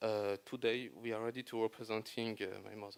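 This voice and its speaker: In a French accent, a man speaks at medium pitch. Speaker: son of a peace prize laureate. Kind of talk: panel interview. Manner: halting.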